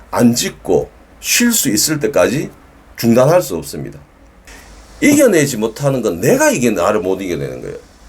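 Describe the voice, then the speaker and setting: Speaking with a Gyeongsang accent, a man keeps a moderate pace with long, frequent pauses. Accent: Gyeongsang dialect, sounds somewhat stiff. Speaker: dog trainer. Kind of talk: educational talk to camera. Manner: firm, emphatic.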